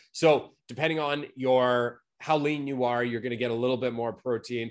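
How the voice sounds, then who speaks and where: Against a quiet background, a man talks at a moderate pace. His pitch is medium, with ordinary variation. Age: 30s. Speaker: fitness coach. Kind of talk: live stream talk. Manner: animated; casual.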